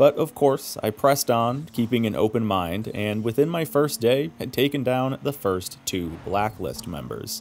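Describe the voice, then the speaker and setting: Speaking at a moderate pace in a normal speaking voice, a man with medium pitch uses lively intonation. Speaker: gaming YouTuber. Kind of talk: scripted review narration.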